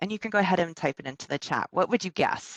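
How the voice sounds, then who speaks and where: A woman with a slight Minnesota accent is heard in a dry, close sound with no echo. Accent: slight Minnesota accent, long O. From US Midwest, Minnesota (ages three to eight). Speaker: workplace well-being facilitator, presenter. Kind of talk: online presentation. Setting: video call from home. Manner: hesitant, many fillers.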